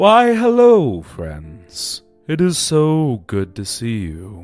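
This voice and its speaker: Over faint background music, a man puts on a character voice at a fairly high pitch and a very slow pace. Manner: overly polite, sinister.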